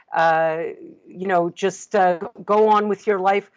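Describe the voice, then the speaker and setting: A woman speaks at a fairly slow pace. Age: 60s. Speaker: dream interpreter and counselor. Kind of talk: interview. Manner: hesitant, many fillers.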